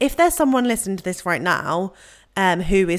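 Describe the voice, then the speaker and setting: In a very clean recording against a silent background, a woman talks at a moderate pace. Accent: British. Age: 20s. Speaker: podcast host. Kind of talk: casual interview chat.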